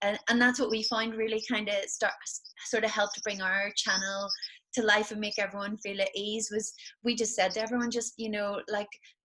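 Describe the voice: Bright and sharp in tone, the voice moves at a moderate pace with little pitch movement. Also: woman, medium pitch for a woman.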